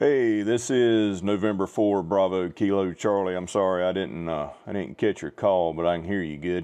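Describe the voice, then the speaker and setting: Speaking in a Southern US accent, a man with a very deep, low pitch keeps a moderate pace with hardly any pauses and ordinary pitch variation. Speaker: ham radio livestreamer. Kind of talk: ham radio net chat. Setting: radio transmission, livestream.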